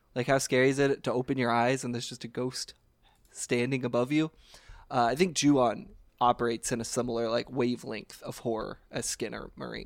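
In a very clean recording with a silent background, a man speaks in a normal speaking voice at medium pitch with fairly even intonation. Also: fairly quick pace. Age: 20s. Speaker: podcast co-host. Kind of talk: casual chat.

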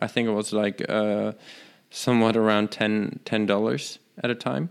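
With a German accent, the speaker talks at a fairly slow pace. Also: man. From Germany. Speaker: tech podcast co-host. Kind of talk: casual chat.

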